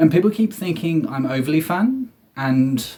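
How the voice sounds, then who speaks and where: His pitch fairly high and his tone dark and mellow, a man speaks with lively intonation. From southeast England. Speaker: comedian. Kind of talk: comedic monologue.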